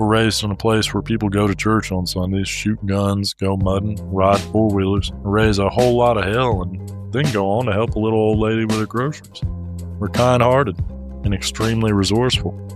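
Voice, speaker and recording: Over music in the background, a man with a Southern US accent talks at a fairly quick pace and fairly low pitch with ordinary pitch variation. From Middle Georgia, Southern US. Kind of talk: comedic personal essay narration.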